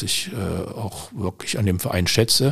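Somewhat breathy and fairly low in pitch, a man speaks at a fairly slow pace with ordinary pitch variation. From Germany, Düsseldorf. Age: 60s. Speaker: shooting club official and civil servant. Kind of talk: interview. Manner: hesitant with frequent fillers.

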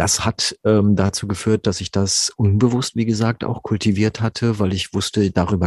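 The sound is dry and close with no echo, over a quiet background. A man speaks in a somewhat breathy voice. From South American parents, grew up in Germany. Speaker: voice actor and voice coach. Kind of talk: interview conversation about voice work. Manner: humorous, laughs often.

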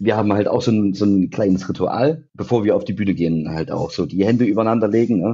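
Very fast speech from a man with a fairly low pitch and ordinary pitch variation. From Thuringia, eastern Germany (near Jena). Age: 30s. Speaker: rock band musician. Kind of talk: casual chat.

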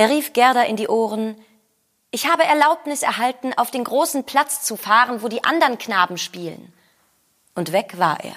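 A woman with a high voice speaks at a moderate pace with lively intonation, big swings in loudness, and long, frequent pauses. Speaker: actor reading fairy tale aloud. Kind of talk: scripted storytelling, fairy-tale reading.

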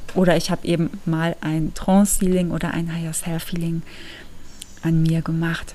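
At a moderate pace, a woman with a fairly low pitch and a dark, mellow tone speaks in a flat monotone. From Germany. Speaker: podcast host. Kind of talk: casual monologue. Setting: at home.

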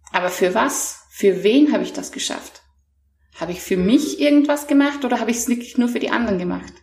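Fairly quick speech with audible room echo. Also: woman, high pitch for a woman, lively intonation. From Austria. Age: 30s. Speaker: mental trainer. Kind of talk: interview, personal testimony.

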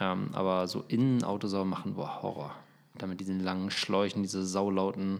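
A man's very deep, low voice, flat and monotone, at a fairly quick pace. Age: 30s. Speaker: podcast co-host, football journalist and father. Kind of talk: casual chat. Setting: recording at home.

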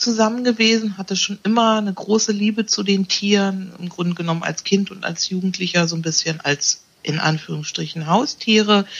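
A somewhat breathy woman's voice at medium pitch, with a moderate pace. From Berlin. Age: 50s. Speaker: animal naturopath. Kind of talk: interview conversation.

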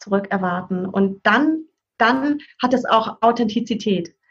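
Speaking in an unremarkable speaking voice, a woman uses a fairly high pitch at a fairly slow pace. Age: 40s. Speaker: parent and family counselor. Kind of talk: casual interview chat.

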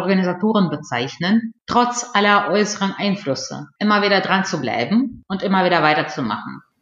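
A woman with a Russian accent speaks at a moderate pace and medium pitch. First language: Russian (speaking German). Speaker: PR professional and media researcher. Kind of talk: interview. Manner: formal, partly reading from prepared text.

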